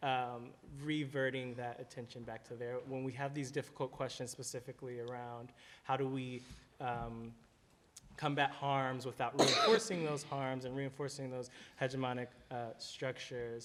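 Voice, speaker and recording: A man's medium-pitched, monotone, flat delivery at a moderate pace. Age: young. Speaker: conference panelist. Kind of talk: panel discussion. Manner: halting, many fillers.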